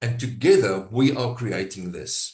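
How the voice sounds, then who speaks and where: Somewhat breathy speech with a South African accent. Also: man. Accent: South African (Brakpan). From South Africa, Gauteng (East Rand). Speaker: AI business trainer. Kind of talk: live workshop demo. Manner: halting.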